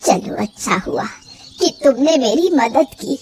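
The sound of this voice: In a cartoonish character voice, a woman uses a high pitch and lively intonation at a fairly slow pace.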